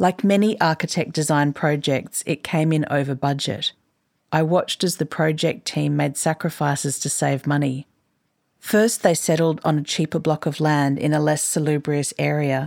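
On a very clean recording with a silent background, a woman with an Australian accent speaks in a very deep, low pitch. Her pace is moderate, her loudness very even, and her pitch variation ordinary. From Queensland, Australia. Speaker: journalist and writer. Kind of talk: reading aloud own article.

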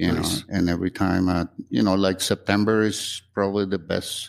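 An ordinary speaking voice at a moderate pace, in a dry, close sound with no echo. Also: man. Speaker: musician and luthier. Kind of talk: casual interview chat.

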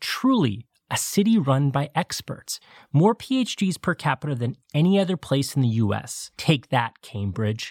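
The speech moves at a fairly slow pace. The recording is very clean, with a silent background. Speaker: documentary podcast host. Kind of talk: scripted narration. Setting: outdoors at a parade.

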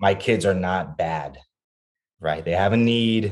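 Against a quiet background, a man with a very deep, low pitch and an American accent talks at a moderate pace with fairly even intonation. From Texas, Laredo (border town). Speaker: parent. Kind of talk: casual interview chat.

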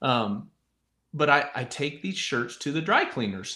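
A fairly slow man with an American accent, fairly high pitch, vocal fry and a bright, sharp tone on a very clean recording with a silent background. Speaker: podcast host, retired rodeo rider turned broadcaster. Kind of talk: casual chat.

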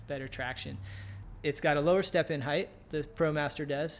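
This man has an ordinary speaking voice, fairly high in pitch. His intonation is fairly even. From US, Virginia (Navy family, moved around). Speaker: climber and van outfitting business owner. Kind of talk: casual interview. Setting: climbing gym / his shop.

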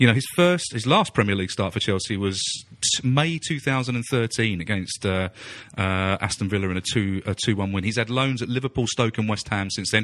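At a moderate pace, a man talks in a plain, everyday voice, fairly low in pitch with ordinary pitch variation. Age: 50s. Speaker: football podcast pundit. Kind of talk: casual chat.

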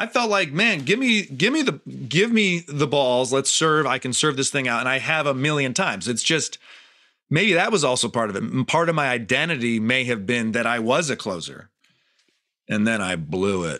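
With an American accent, a man speaks at a moderate pace and medium pitch, his pitch swinging very widely on a very clean recording with a silent background. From Michigan, US. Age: 40s. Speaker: stand-up comedian, former pro tennis player. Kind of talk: casual interview conversation.

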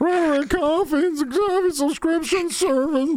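Over noticeable background noise, a high-pitched, put-on character voice comes through. The pace is moderate. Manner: sad, tearful.

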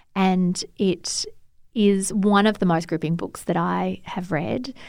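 This woman has an Australian accent and a medium pitch with ordinary variation. The recording is very clean, with a silent background. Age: 40s. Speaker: novelist. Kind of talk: interview.

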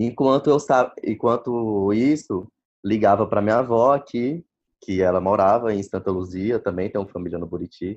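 A man with a medium pitch and ordinary pitch variation has an unremarkable speaking voice. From Brazil, Maranhão. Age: 20s. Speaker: doctor. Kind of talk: interview. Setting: phone call.

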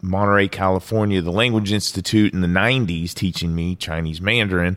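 At a fairly quick pace, a man talks in an ordinary speaking voice with a fairly low pitch, in a very clean recording with a silent background. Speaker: former military interrogator. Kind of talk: interview storytelling.

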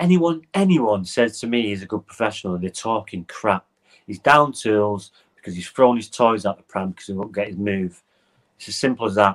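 A man's normal speaking voice, fairly low in pitch, at a fairly quick pace, with ordinary pitch variation and big swings in loudness. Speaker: football podcast host. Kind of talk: heated football debate, rant.

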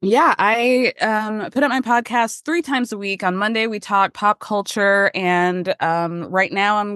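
Against a quiet background, a woman with a bright, sharp tone speaks at a medium pitch and a moderate pace, with hardly any pauses, ordinary pitch variation, and a dry, close sound with no echo. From Georgia, US South. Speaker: podcast host. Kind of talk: casual chat.

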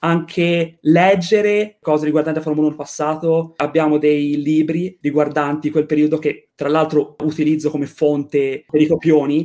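Delivered at a moderate pace with hardly any pauses, the voice has a dark, mellow tone and monotone, flat intonation. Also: man, fairly high pitch for a man. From Florence, Italy. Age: 20s. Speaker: student podcaster. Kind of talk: interview. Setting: home room.

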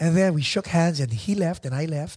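A man speaks in an animated tone. His voice is somewhat breathy. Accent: Filipino. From Philippines. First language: Tagalog. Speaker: podcast host. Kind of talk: casual chat.

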